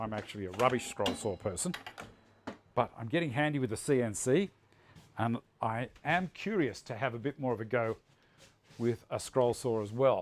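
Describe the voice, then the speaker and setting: Speaking with an Australian accent, a man uses medium pitch and lively intonation. His pace is moderate. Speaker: woodworking livestream host. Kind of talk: live workshop demonstration with chat. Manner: loud.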